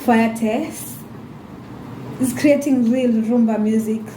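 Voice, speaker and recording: With noticeable background noise and audible room echo, a woman speaks in an animated tone at a moderate pace and fairly high pitch. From Kenya. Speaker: YouTuber. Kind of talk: casual vlog monologue.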